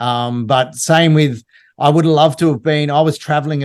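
A man's fairly high voice with an Australian accent and fairly even intonation, over a quiet background. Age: 50s. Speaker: TV producer and entrepreneur. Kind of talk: podcast interview.

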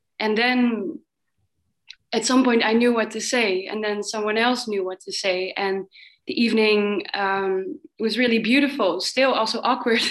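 A woman's plain, everyday voice, fairly high in pitch, with ordinary pitch variation at a moderate pace. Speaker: workshop participant. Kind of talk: sharing in group discussion.

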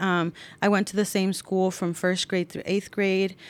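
A woman with an unremarkable speaking voice talks at a fairly quick pace in a medium pitch. The recording is very clean, with a silent background. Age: 30s. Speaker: youth commission coordinator. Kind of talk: interview.

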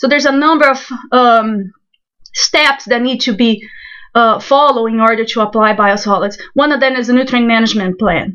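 Bright and sharp in tone, a woman talks at a fairly quick pace with a fairly high pitch and ordinary pitch variation. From Brazil. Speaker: soil scientist. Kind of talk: interview.

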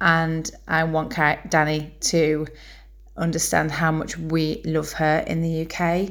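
In a Yorkshire accent, a woman speaks very slowly with a very deep, low pitch. Her intonation is flat and monotone, and the room echo is audible. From Bradford, northern England. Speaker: fan. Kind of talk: recorded testimony.

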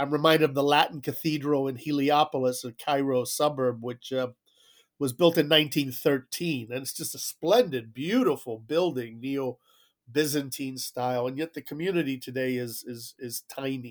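Over a very clean recording with a silent background, a man with an American accent uses an ordinary speaking voice, fairly high in pitch, at a moderate pace with fairly even intonation and big swings in loudness. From South Florida, Cuban exile family. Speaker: diplomat. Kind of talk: interview.

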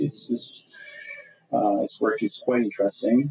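A man talks with a French accent. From France. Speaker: political science researcher and translator. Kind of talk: interview.

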